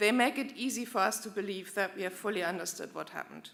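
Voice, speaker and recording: A woman speaks at a very fast pace with a medium pitch and vocal fry. Her intonation stays fairly even. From Germany. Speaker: German diplomat. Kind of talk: formal commemorative speech. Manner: formal.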